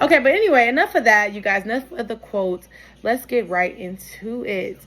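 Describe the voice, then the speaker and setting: Music plays in the background as a woman talks at a fairly quick pace and fairly high pitch, animated in tone and lively in intonation. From US Midwest. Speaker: online content creator, self-help host. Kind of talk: motivational vlog monologue. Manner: fast.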